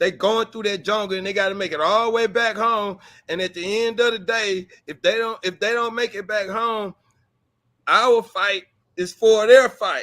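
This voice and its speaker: A man with a high pitch projects his voice in a raised, bright, sharp tone. His pace is moderate. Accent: American. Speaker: blogger. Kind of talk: casual discussion on a livestream. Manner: animated, repetitive.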